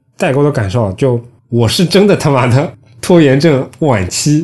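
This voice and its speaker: Somewhat breathy speech rises and falls through very wide pitch swings. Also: man. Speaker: podcast host, designer. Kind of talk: casual chat.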